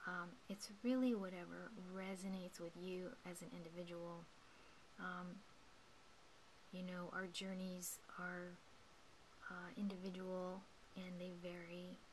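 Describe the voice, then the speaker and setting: A woman talks at a fairly slow pace and medium pitch, in a monotone, flat intonation with long, frequent pauses. Noticeable background noise runs underneath. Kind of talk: guided meditation talk. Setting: indoors at night, home recording. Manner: whispered, soft-spoken.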